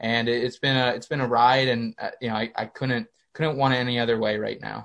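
A man with an American accent speaks at a moderate pace and medium pitch in a monotone, flat intonation. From Pennsylvania, small town. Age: 20s. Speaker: sports media founder and communications strategist. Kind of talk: interview. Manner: many fillers and repetitions.

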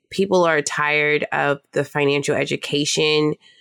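A woman talks at a fairly slow pace in a dry, close recording with no echo. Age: 20s. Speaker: personal finance educator. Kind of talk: casual chat.

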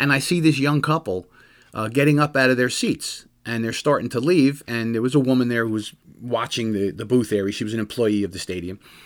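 Over a silent background in a very clean recording, a man with an American accent and an ordinary speaking voice talks fairly quickly at medium pitch with ordinary pitch variation. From New Jersey. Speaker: police officer and radio host. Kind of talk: radio talk show monologue. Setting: studio.

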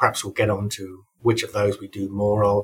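A man speaks at a fairly low pitch in a somewhat breathy voice. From Europe. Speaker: university tech-transfer executive. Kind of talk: interview.

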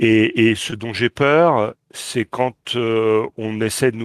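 A man speaks at a medium pitch with fairly even intonation, the sound dry and close with no echo. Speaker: podcast co-host.

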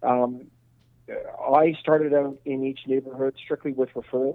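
The speaker is a man. He talks with a Montreal accent. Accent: Montreal anglophone Canadian English. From Montreal, Quebec. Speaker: real estate investor. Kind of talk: interview. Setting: phone call. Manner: halting.

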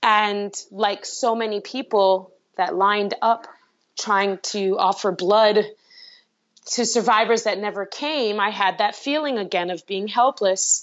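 In an unremarkable speaking voice, a woman with an American accent talks fairly slowly at a medium pitch with fairly even intonation. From US, Brooklyn, New York. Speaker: singer-songwriter. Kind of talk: interview conversation.

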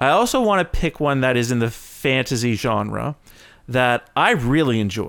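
With a Canadian accent, a man speaks in an ordinary speaking voice at medium pitch and a moderate pace, with ordinary pitch variation and very even loudness. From Canada. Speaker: podcast co-host, video and TV maker. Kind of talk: casual chat.

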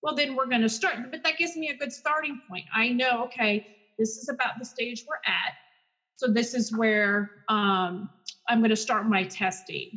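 A woman speaks with an American accent and a fairly high pitch. She has an ordinary speaking voice. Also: ordinary pitch variation, moderate pace. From Texas, Garland. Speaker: speech-language pathologist. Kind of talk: casual interview.

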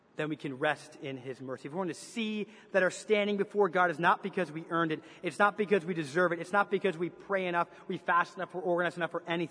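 A man's high voice at a very fast pace. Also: ordinary pitch variation. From Canada. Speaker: pastor. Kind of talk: sermon. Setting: church.

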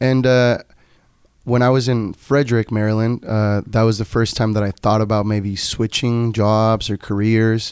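A man with a Spanish accent talks at a moderate pace in a monotone, flat intonation, his loudness very even. It is a very clean recording with a silent background, and the sound is dry and close with no echo. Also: medium pitch for a man. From Tijuana, Baja California, Mexico. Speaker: brewer and incoming international student. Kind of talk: casual interview chat.

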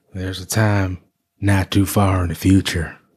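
Using a put-on character voice, a man speaks at a moderate pace in a very deep, low pitch with flat, monotone intonation.

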